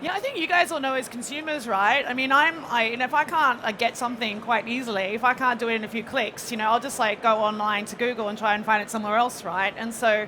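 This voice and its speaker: A woman with an Australian accent talks at a very fast pace with hardly any pauses and ordinary pitch variation. Noticeable background noise is present. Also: fairly high pitch for a woman. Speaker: payments panelist. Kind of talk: panel discussion. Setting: stage with audience.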